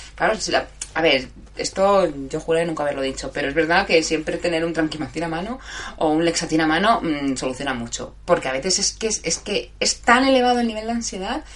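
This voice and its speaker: Noticeable background noise sits under a woman's voice. She talks at a fairly quick pace with very wide pitch swings. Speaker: live show host. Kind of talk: casual live chat with listeners. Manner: halting, stumbling over words.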